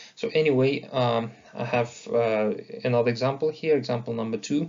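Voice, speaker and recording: Speaking at a fairly slow pace, a man uses a medium-pitched voice with fairly even intonation. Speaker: university lecturer. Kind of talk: lecture. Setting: online lecture recording. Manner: halting with fillers.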